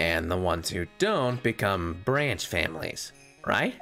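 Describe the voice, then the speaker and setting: A put-on character voice, low in pitch, moves at a fairly slow pace as faint music plays in the background. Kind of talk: streamer's put-on game voice. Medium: game stream. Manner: earnest, storytelling.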